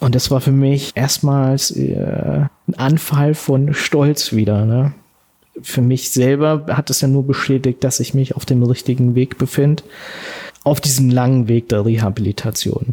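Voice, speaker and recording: A man speaks slowly-ish, at a fairly slow pace and medium pitch, with a dark, mellow, somewhat breathy tone. His intonation is fairly even and his loudness very even. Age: 40s. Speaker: soldier and war veteran. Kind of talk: personal testimony interview. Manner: halting.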